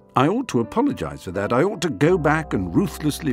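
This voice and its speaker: Music plays behind a man as he speaks. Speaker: author. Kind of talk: memoir audiobook reading.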